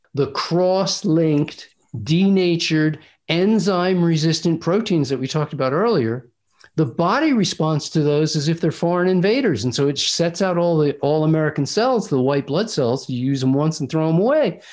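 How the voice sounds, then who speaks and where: Here is a man with a plain, everyday voice, fairly high in pitch, speaking at a moderate pace with ordinary pitch variation. His loudness stays very even on a very clean recording with a silent background. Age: 60s. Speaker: raw food diet author and doctor. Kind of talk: interview. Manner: assertive.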